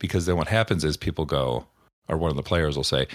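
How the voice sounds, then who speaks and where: Very deep, low male voice with vocal fry at a fairly quick pace, on a very clean recording with a silent background. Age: 50s. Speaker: game master and podcast host. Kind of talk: solo podcast monologue. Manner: casual, with fillers.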